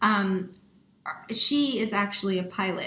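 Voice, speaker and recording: Audible room echo follows a woman speaking at a medium pitch. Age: 30s. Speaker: pilot and aviation nonprofit founder. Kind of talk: online workshop presentation. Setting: online workshop. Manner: conversational with frequent fillers.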